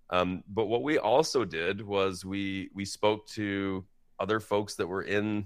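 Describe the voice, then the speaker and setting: An unremarkable speaking voice goes at a fairly slow pace with ordinary pitch variation, on a very clean recording with a silent background. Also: man. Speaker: prosthodontist. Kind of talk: interview. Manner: casual, conversational.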